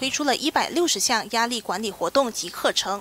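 Over light background noise, a woman speaks at a fairly high pitch. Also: dry sound with no echo. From Malaysia. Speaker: news reader. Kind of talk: news reading. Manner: formal.

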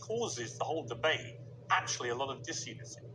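A man's voice with noticeable background noise. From England. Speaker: interviewer. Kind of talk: interview. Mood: probing, challenging. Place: studio. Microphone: lapel.

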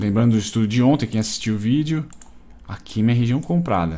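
A man with a dark, mellow tone at a fairly quick pace. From Brazil. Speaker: day trader and YouTuber; YouTuber. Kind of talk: live trading commentary. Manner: casual, slangy. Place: home room.

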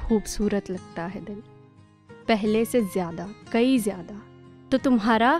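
Faint music plays in the background of this dry, echo-free recording as a woman speaks with ordinary pitch variation. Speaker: spoken word poet. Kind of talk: spoken word poetry. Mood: wistful, hopeful, smiling. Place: studio. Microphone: studio mic.

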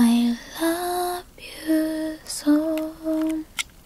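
A woman speaks at an extremely high pitch with ordinary pitch variation. Light background noise sits under a dry sound with no echo. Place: home room. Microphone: handheld.

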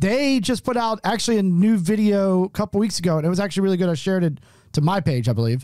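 With an American accent, a man talks very fast in a high voice whose pitch swings very widely, over a quiet background and a dry sound with no echo. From Oklahoma, then Maryland from age ten. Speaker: podcast host. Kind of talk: casual chat. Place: studio. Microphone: studio mic.

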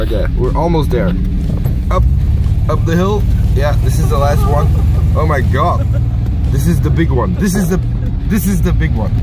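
Over loud background music, a man speaks with long, frequent pauses in a dry sound with no echo. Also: ordinary pitch variation, moderate pace. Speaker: driver vlogger. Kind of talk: casual vlog chat. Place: car. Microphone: phone near.

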